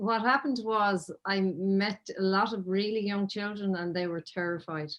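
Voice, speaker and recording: In an unremarkable speaking voice, a woman talks at a moderate pace with a medium pitch and ordinary pitch variation. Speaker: children's author and podcast host. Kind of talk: interview.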